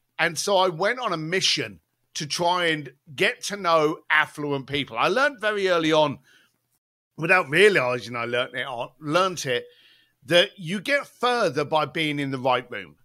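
In a British accent, a man with a fairly high voice and a bright, sharp tone is heard on a very clean recording with a silent background. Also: lively intonation, moderate pace. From East London. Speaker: author and event planner. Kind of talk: casual interview chat.

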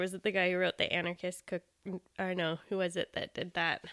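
A woman's normal speaking voice with a Canadian accent, medium pitch, and a fairly quick pace, in a very clean recording with a silent background and a dry, close sound with no echo. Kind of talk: casual chat.

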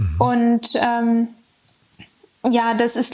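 The speaker is a woman. Her pitch sits fairly high. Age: 20s. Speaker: former young startup founder and student. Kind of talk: interview.

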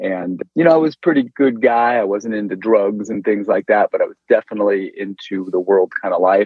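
In an ordinary speaking voice with an American accent, a man talks at a fairly quick pace and fairly low pitch, with ordinary pitch variation and hardly any pauses. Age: 40s. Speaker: chiropractor. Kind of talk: testimony.

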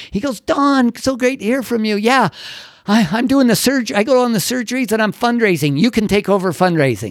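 A man with a high pitch speaks at a fairly quick pace in an energetic, animated tone with lively intonation. The recording is very clean, with a silent background. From Utah, US. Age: 60s. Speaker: entrepreneur and university teacher. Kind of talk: casual interview storytelling. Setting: studio.

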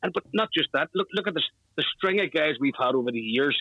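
A man with a Northern Irish accent speaks at a fairly quick pace in a fairly high voice. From Northern Ireland. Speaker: football fan, flag maker. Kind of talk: interview.

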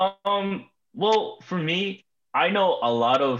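A man's voice with very wide pitch swings. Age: young. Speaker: amateur soccer player. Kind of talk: casual interview.

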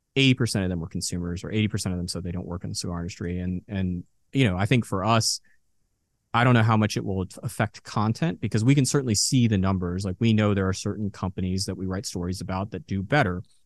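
Against a quiet background with a dry, close sound and no echo, a man with an American accent talks at a very fast pace, his fairly low pitch showing ordinary variation. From Texas, Dallas. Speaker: cigar journalist and reviewer. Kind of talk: podcast interview.

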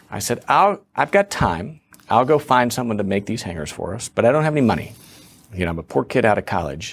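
Here is a man with a plain, everyday voice, pitched at a medium level. He talks at a fairly quick pace with lively intonation. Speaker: businessman and founder. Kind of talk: casual interview chat.

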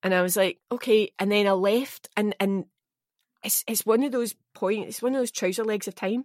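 A woman with a Scottish accent speaks at a fairly high pitch and moderate pace. Her intonation is fairly even, and the sound is dry and close with no echo. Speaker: actor. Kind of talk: casual chat.

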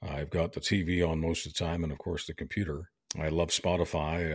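In a very clean recording with a silent background, a man speaks with a Canadian accent at a fairly quick pace. His very deep, low voice has vocal fry and monotone, flat intonation. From Canada, Montreal. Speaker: veteran talk radio host and podcaster. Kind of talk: interview. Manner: hesitant with many fillers.

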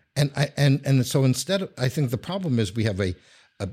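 A somewhat breathy man with a New York accent, lively intonation and moderate pace, in a very clean recording with a silent background. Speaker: urban studies scholar and writer. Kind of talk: casual interview. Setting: office studio. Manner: halting with many restarts.

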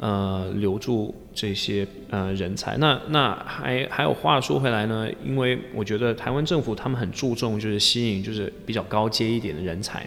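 A man with a fairly low voice, hardly any pauses, and music in the background. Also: ordinary pitch variation, moderate pace. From England, Leicester. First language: English (speaking Chinese). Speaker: founder of job-seeking community. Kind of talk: interview. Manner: halting, many fillers.

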